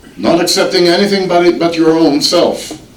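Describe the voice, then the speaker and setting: Amid noticeable background noise and audible room echo, a high-pitched man with an Israeli accent speaks at a fairly slow pace. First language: Hebrew. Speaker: guest speaker on Israel. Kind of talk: public speech. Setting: church. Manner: halting, with repeated words.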